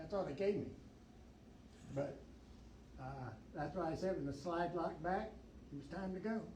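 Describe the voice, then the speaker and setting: Long, frequent pauses break up the speech, heard with audible room echo and noticeable background noise. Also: man. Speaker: Vietnam war veteran, tunnel rat. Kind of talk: Q&A talk at library event. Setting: library event with audience. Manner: casual, conversational.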